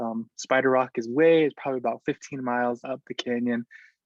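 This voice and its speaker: A man with an American accent. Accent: Navajo English. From Navajo Nation, US Southwest. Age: 20s. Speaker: weaver and artist. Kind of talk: presentation. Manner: many filler words, hesitant.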